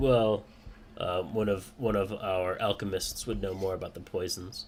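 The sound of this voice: A man puts on a gruff character voice at a fairly low pitch, with fairly even intonation and a moderate pace. Clear background noise is present.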